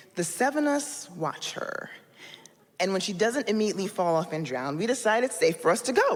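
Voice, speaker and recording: A woman's fairly high voice sounds animated, with very wide pitch swings at a fairly quick pace. Noticeable background noise runs underneath. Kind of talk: live storytelling performance. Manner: humorous, animated, expressive.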